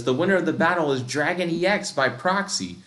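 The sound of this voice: Putting on a robotic character voice, a man talks high and at a fairly quick pace.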